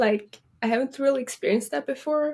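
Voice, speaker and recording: With a strong Swedish accent, a woman speaks at a high pitch with ordinary pitch variation. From Sweden. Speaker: college soccer player. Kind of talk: interview.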